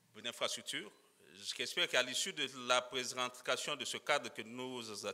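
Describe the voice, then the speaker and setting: A bright, sharp tone comes through at a very slow pace. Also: man. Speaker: legal expert presenting at a conference. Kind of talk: conference presentation. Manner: halting, many fillers and repetitions.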